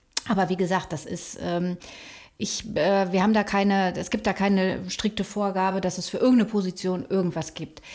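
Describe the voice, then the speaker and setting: A woman's normal speaking voice at medium pitch and moderate pace, with fairly even intonation on a very clean recording with a silent background. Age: 40s. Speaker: PR agency director. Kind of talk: casual chat. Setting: office room.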